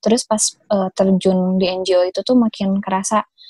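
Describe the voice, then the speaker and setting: A woman's somewhat breathy voice at a medium pitch, dark and mellow in tone, with fairly even intonation and a fairly slow pace. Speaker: conservation activist. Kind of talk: casual chat. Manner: halting, many fillers.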